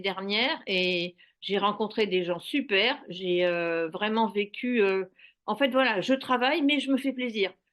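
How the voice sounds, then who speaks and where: Over a quiet background, a woman at medium pitch speaks at a fairly slow pace with ordinary pitch variation. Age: 60s. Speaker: retiree who opened a guesthouse. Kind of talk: testimony. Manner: halting.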